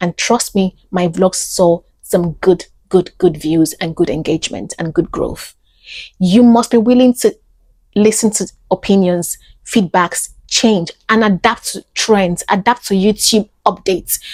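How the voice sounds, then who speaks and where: This woman's somewhat breathy voice sits at a medium pitch with ordinary pitch variation and moves at a fairly slow pace. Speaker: actor and YouTuber. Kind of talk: podcast monologue. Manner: animated.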